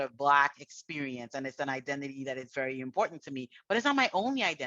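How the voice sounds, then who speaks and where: A woman's bright, sharp tone in a dry, close sound with no echo. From Trinidad and Tobago. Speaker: university administrator. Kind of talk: panel discussion.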